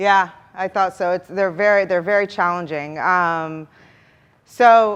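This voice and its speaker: The woman's voice sits at a medium pitch and rises and falls in an ordinary way. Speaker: product marketing manager, conference speaker. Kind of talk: conference workshop talk. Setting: stage with audience. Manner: fast.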